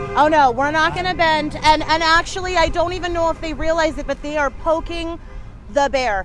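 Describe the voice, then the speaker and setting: A woman speaks loudly at an extremely high pitch with ordinary pitch variation. Her pace is fairly quick, and there is noticeable background noise. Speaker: activist group regional leader. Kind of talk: casual chat. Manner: animated.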